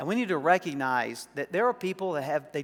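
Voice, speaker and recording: This man talks at a fairly quick pace in an American accent. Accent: Southern, occasional. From US South, South Arkansas. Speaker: pastor. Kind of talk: sermon.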